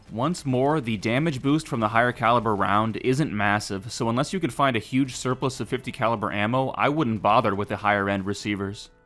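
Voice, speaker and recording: Music plays in the background as a man talks. His pace is fairly quick and his intonation lively. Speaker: video game mod reviewer. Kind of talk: game review narration.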